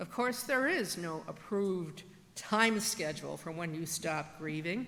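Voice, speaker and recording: A woman with an American accent talks at a fairly slow pace, fairly low in pitch. Her intonation is lively, and noticeable background noise runs underneath. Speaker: church pastor. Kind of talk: church sermon.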